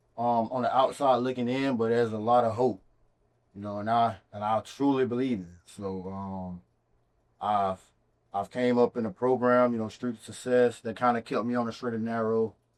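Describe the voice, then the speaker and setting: Keeping a moderate pace, a man speaks at a medium pitch with fairly even intonation. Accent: American. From US South, Macon, Georgia. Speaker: real estate entrepreneur. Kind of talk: interview.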